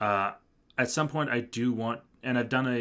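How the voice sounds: The speaker reads in a natural reading voice, pitch shifting in an ordinary way.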